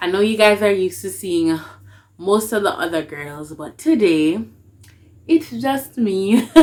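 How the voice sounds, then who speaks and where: A woman with a Jamaican accent speaks at a medium pitch and a fairly slow pace, with long, frequent pauses, big swings in loudness and very wide pitch swings. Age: young. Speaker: dub poet. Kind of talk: casual talk to camera.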